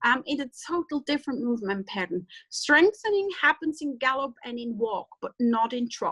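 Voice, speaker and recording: A woman's high, bright, sharp voice with very wide pitch swings and hardly any pauses, in a dry, close sound with no echo. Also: moderate pace. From German-speaking Europe. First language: German. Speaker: veterinarian. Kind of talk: webinar lecture. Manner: halting.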